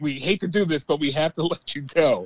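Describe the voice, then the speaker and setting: His pitch is fairly high and varies in an ordinary way as this man talks in an ordinary speaking voice. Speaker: sports podcast guest. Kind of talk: casual chat.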